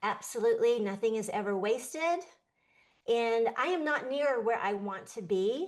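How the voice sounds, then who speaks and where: A woman with an unremarkable speaking voice talks at a fairly high pitch with lively intonation. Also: moderate pace. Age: 60s. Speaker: artist and show co-host. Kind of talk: casual chat.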